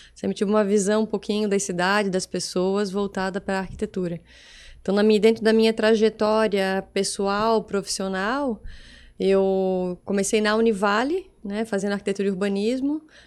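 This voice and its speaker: This woman has a strong Santa Catarina accent and a medium pitch. Her intonation is monotone and flat. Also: very clean recording, silent background. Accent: strong local Itajaí. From Brazil, Itajaí (Santa Catarina coast). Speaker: architect and business association president. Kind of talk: podcast interview. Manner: fast.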